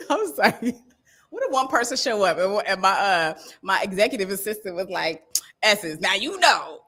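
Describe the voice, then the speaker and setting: A woman at a medium pitch and moderate pace, animated in tone with lively intonation. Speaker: stylist coach. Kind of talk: live stream motivational talk. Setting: livestream. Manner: loud.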